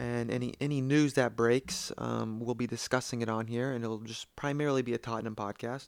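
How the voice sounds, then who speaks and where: A man's medium-pitched, monotone, flat delivery with an American accent at a moderate pace, on a very clean recording with a silent background. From United States. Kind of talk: solo podcast introduction. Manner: halting, repeats words.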